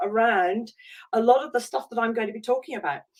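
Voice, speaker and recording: A woman speaks at a high pitch with a British accent. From UK. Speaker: life coach. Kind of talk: online masterclass talk. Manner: halting, many fillers.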